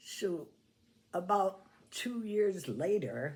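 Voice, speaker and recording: A woman's medium-pitched voice with vocal fry and an American accent, at a very slow pace. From New York, US. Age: 90s. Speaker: Irish dance teacher. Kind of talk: oral history interview. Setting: at her home.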